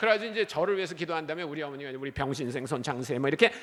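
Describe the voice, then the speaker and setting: This is a man talking. His tone is animated. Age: 60s. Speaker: missionary. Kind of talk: sermon.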